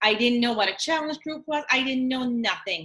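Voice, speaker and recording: Bright and sharp in tone, a woman speaks with an Acadian accent. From Atlantic Canada, New Brunswick (Acadian French village). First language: French. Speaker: fitness coach. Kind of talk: casual live video chat.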